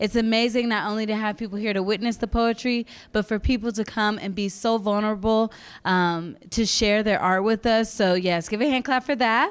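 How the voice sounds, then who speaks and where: A woman's ordinary speaking voice, fairly high in pitch, with fairly even intonation at a moderate pace, on a very clean recording with a silent background. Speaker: student event host. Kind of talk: event hosting, live audience.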